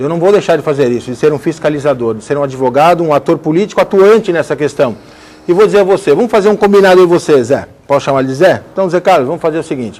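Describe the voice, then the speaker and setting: Speaking at a very fast pace, a man uses a fairly high pitch and lively intonation. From Brazil, Guarujá area. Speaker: lawyer and emancipation activist. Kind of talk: TV debate. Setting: TV studio.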